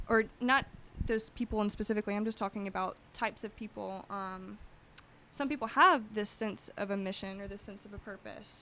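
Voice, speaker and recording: With an American accent, a woman talks at a fairly quick pace. Her voice is fairly high, with a bright, sharp tone. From US. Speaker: yoga entrepreneur. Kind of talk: podcast interview. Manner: animated.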